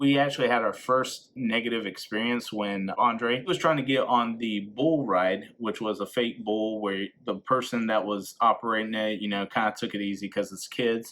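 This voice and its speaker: The speech moves at a moderate pace with fairly even intonation and hardly any pauses. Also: man, medium pitch for a man. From North Carolina / South Carolina border, US South. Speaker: vlogger and teacher. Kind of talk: casual vlog narration.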